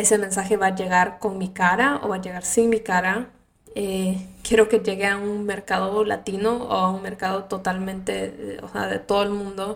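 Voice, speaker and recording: A woman talks at a medium pitch, her delivery monotone and flat. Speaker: podcast host. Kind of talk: casual monologue.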